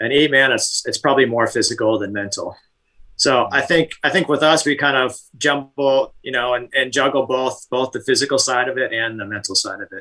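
With a bright, sharp tone, a man speaks at a fairly quick pace with ordinary pitch variation. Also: medium pitch for a man. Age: 50s. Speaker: endurance cyclist and gym design business owner. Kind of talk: casual interview.

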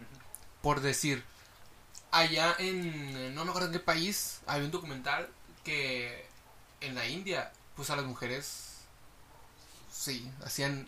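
A man with a Mexican accent and a fairly high pitch speaks at a very slow pace, with long, frequent pauses and big swings in loudness. Room echo is audible, along with noticeable background noise. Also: ordinary pitch variation. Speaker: friend of the host. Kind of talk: casual chat.

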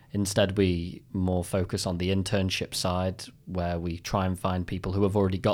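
In a very clean recording with a silent background, a man with a British accent speaks at a moderate pace in a very deep, low pitch and a monotone, flat intonation. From United Kingdom. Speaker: video game artist. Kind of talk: interview. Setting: studio.

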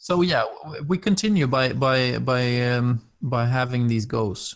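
A man with a Swedish accent. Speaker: podcast host, game master. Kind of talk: role-play narration.

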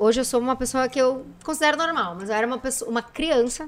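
A woman's raised, projected voice, high in pitch, bright and sharp in tone, with lively intonation. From Santa Rosa, Rio Grande do Sul, Brazil. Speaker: businesswoman and influencer. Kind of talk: casual chat.

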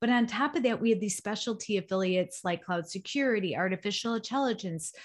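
A woman with an American accent, somewhat breathy and fairly quick, against a quiet background. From Chicago area. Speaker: nonprofit executive director. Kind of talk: podcast interview.

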